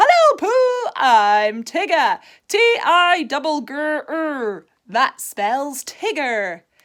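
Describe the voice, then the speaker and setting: A put-on character voice from a woman, high and raised in projection, with very wide pitch swings at a very slow pace. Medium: read story. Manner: exuberant, boisterous.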